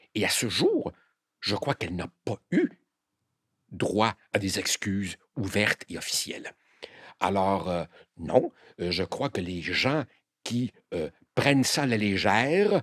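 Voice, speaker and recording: Speaking at a very slow pace with long, frequent pauses, a man with a fairly low pitch uses lively intonation, and the sound is dry and close with no echo. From Quebec (arrived age nine). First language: Spanish (speaking French). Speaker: columnist and novelist, former politician. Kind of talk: interview. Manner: hesitant, many fillers.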